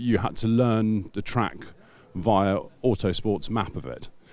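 On a very clean recording with a silent background, a man speaks at a fairly low pitch with a dark, mellow tone. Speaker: magazine editor and podcast host. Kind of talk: interview. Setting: hotel room, filmed.

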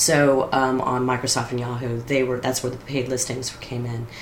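With an American accent, the speaker talks fairly quickly in a monotone, flat intonation, with audible room echo and noticeable background noise. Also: woman. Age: 40s. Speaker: storyteller. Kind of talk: casual chat.

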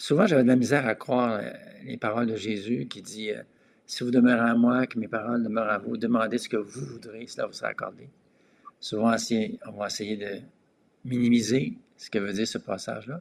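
At a fairly quick pace broken by long, frequent pauses, a man speaks in a medium pitch with fairly even intonation and big swings in loudness. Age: 60s. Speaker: pastor. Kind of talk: casual chat.

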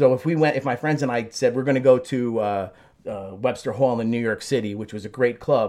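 Against a quiet background, a man with a dark, mellow tone speaks at a fairly quick pace with ordinary pitch variation. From New Jersey, Newark/Belleville area. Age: 50s. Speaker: teacher. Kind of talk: casual interview. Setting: small apartment studio. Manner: high-energy, talkative.

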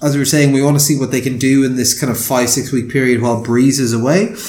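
A man with an Irish accent. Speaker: sports podcast host. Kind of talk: casual chat. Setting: remote call.

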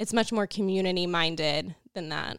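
A woman at medium pitch in a plain, everyday voice, moderate pace, very clean recording with a silent background. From northwest Oklahoma. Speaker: communications director for Native agriculture initiative. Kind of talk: interview.

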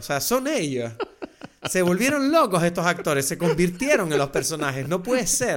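With a Canarian accent, a man talks at a moderate pace in a high pitch, his voice making very wide pitch swings. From France, raised in the Canary Islands. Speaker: podcast co-host, film commentator. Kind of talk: casual chat.

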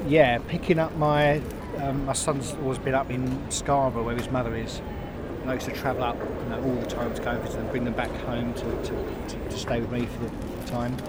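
Delivered at a fairly quick pace, the speech is monotone and flat, with noticeable background noise behind it. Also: man, medium pitch for a man. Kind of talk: casual chat. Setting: outdoors.

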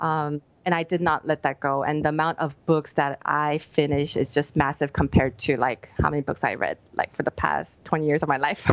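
Over noticeable background noise, a woman with an American accent speaks in a very deep, low pitch. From United States. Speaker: life coach. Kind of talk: interview conversation.

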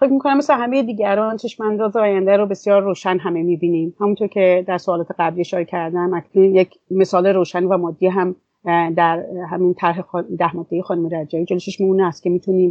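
The woman's pitch sits in the medium range. She speaks very fast, with fairly even intonation. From Iran. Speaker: women's association director, activist. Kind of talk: interview.

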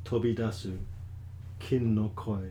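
Room echo is audible as a man talks at a very slow pace. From grew up in Asia (Tokyo, Hong Kong), English family. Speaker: potter and Zen monk. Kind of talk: casual interview. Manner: halting.

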